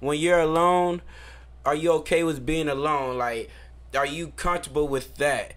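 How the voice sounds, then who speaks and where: A man with a plain, everyday voice talks at a moderate pace, fairly high in pitch, with fairly even intonation. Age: 30s. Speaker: podcast co-host. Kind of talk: casual chat.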